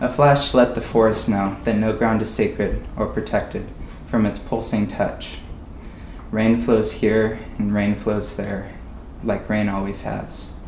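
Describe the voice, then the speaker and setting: Against audible room echo, a man speaks fairly slowly in a fairly low-pitched voice with monotone, flat intonation. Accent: American. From Oregon. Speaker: college student. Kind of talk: poetry reading. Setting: stage with audience at a winery.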